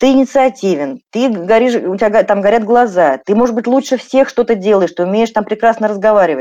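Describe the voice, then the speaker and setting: A dark, mellow tone comes at a fairly quick pace with very even loudness. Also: woman, fairly high pitch for a woman. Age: 40s. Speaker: psychologist and journalist answering listener questions. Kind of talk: expert Q&A livestream. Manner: conversational, with many filler words.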